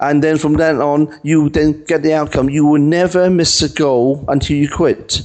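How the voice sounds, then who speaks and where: A man's fairly high, monotone voice at a moderate pace, with very even loudness and hardly any pauses. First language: not English. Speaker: author and maths coach. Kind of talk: podcast interview. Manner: halting, repeats words.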